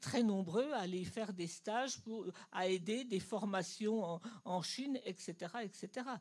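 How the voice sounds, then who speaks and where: A woman's somewhat breathy voice sits at a medium pitch and shows ordinary pitch variation. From Germany. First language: German (speaking French). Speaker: audience member. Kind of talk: audience question. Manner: halting.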